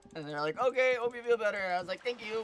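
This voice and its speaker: Against noticeable background noise, a woman talks in an animated tone with lively intonation. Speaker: gaming streamer. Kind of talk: casual chat.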